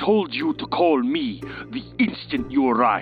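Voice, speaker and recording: A put-on character voice growls at a moderate pace. Clear music plays in the background. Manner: angry, growling.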